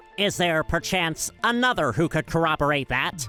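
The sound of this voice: Over clear background music, a cartoonish character voice speaks at a middle pitch and a moderate pace.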